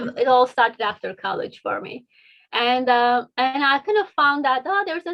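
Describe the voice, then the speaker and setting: This woman's voice sits high in pitch. She speaks with a Turkish accent. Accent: non-native, Turkish. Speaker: engineer and children's book author. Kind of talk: interview. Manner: hesitant, many fillers.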